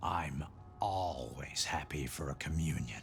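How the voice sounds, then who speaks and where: A fairly slow put-on character voice from a male speaker. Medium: video game. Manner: serene, calm.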